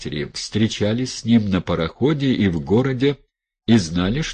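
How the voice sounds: The background stays quiet as a natural reading voice moves with lively intonation.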